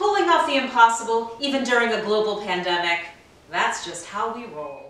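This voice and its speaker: In a room with audible echo, a woman with a fairly high voice speaks with very wide pitch swings and big shifts in loudness. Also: moderate pace. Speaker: program host. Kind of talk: promotional narration to camera. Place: home room.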